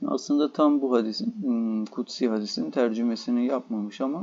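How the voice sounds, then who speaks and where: Using a dark, mellow tone at medium pitch, a man speaks at a very fast pace. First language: Turkish (speaking Persian). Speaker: Persian language teacher. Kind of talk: lecture. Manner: halting.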